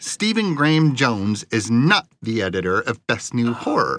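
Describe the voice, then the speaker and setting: A man speaks in a put-on character voice that sounds nasal, at a medium pitch. His pace is moderate. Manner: snarky.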